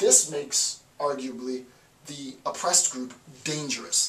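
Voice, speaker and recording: Room echo can be heard around the man as he talks. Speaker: professor. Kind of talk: lecture. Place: home room. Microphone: camera far.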